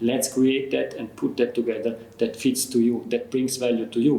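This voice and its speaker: A man with a non-native accent speaks at a moderate pace and medium pitch, his intonation fairly even, with audible room echo. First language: not English. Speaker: customer experience expert. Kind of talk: interview conversation. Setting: in person, Zurich.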